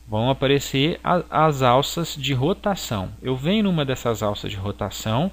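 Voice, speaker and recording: A man at a fairly slow pace with hardly any pauses, medium in pitch, with very wide pitch swings. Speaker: graphic design teacher. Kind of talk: software tutorial. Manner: halting.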